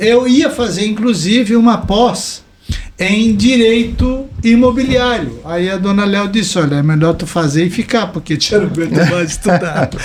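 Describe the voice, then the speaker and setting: This man talks at a fairly slow pace with a high pitch and lively intonation. Audible room echo and noticeable background noise fill the recording. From Brazil, Santa Catarina coast (Balneário Camboriú). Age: 60s. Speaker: environmental consultant and author. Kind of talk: podcast interview.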